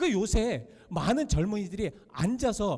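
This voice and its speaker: The voice is loud, with a dark, mellow tone and lively intonation. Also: man. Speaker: pastor. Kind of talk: sermon.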